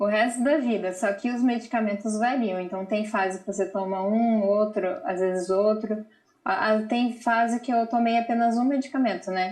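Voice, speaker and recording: Moderate-paced speech from a woman, fairly high in pitch and somewhat breathy, with fairly even intonation. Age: 30s. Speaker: mother with bipolar disorder, channel owner. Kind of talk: live TV interview.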